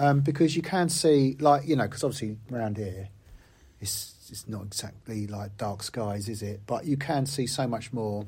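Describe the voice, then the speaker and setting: A man's somewhat breathy, medium-pitched voice at a moderate pace, with ordinary pitch variation. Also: big swings in loudness. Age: 50s. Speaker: podcast host. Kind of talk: casual chat.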